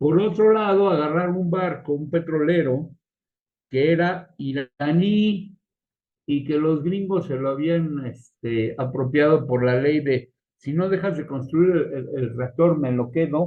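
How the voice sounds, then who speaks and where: A man speaks at a fairly high pitch and a fairly slow pace. His pitch varies in an ordinary way. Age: 60s. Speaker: geopolitics panelist. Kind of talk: casual panel discussion. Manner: animated.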